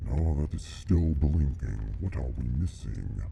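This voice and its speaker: A man uses a put-on character voice with a very deep, low pitch. He speaks at a fairly slow pace over clear background noise. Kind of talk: mock-solemn reaper persona. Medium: solo performance. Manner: formal, archaic phrasing mixed with casual asides.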